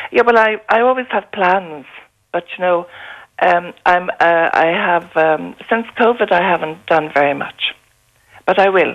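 A woman talks at a fairly slow pace with an Irish accent. Her pitch rises and falls in an ordinary way. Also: fairly low pitch for a woman. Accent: Irish (Galway). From East Galway, Ireland. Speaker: author and traveller. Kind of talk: radio interview. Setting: phone call. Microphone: echo and slight hum on the line.

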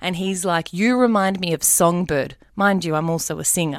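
A woman's fairly low-pitched voice at a moderate pace, on a very clean recording with a silent background. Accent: Australian. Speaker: radio presenter. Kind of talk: interview.

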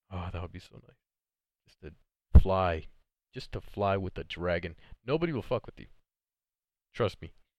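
On a very clean recording with a silent background, a man with a very deep, low pitch talks at a moderate pace with ordinary pitch variation, big swings in loudness, and long, frequent pauses. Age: young. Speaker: solo podcaster. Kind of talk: casual monologue. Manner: halting, many fillers; animated.

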